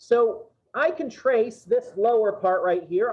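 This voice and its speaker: Ordinary pitch variation at a moderate pace. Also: man. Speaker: math instructor. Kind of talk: classroom lecture. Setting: classroom with students. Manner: conversational.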